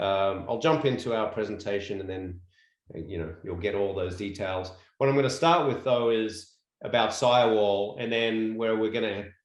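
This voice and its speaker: With an Australian accent, a man speaks at a moderate pace in a fairly low pitch with ordinary pitch variation, and the room echo is audible. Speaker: construction company executive. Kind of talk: presentation.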